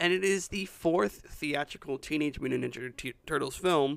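This man's tone is bright and sharp, his intonation lively and his pace moderate. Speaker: film podcast co-host. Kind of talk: casual chat. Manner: halting, repeats words.

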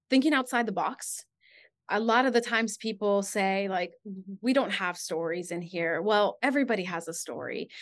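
With a Spanish accent, a woman speaks at medium pitch against a quiet background. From Guatemala. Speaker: fire department communications specialist. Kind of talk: interview.

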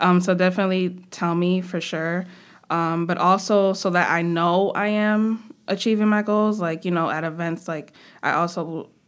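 A woman with an American accent speaks at a moderate pace in an ordinary speaking voice, medium in pitch with fairly even intonation. The recording is very clean, with a silent background. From New York, Brooklyn. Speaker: student government president. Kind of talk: interview.

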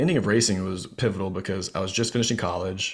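A man talks at a fairly quick pace in an unremarkable speaking voice with a fairly low pitch. The recording is very clean, the background silent. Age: 30s. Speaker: speaker and fear coach, former country singer and race car driver. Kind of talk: casual interview.

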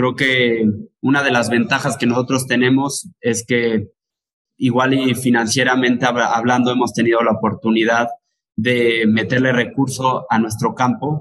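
A man's medium-pitched voice, fairly slow, with monotone, flat intonation and very even loudness. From Mexico, Teziutlán, Puebla. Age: 20s. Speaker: lime grower and marketer. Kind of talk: interview.

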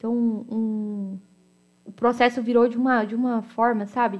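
A woman's fairly high-pitched voice at a fairly slow pace, on a very clean recording with a silent background. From Americana, São Paulo state, Brazil. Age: 20s. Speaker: podcast host. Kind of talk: personal storytelling monologue.

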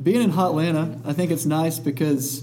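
Over noticeable background noise, a man with a Southern US accent talks at a fairly high pitch with ordinary pitch variation. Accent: Southern US (Georgia). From US South, Dalton, Georgia. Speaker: guest co-host, charity volunteer. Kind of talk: casual chat. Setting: studio.

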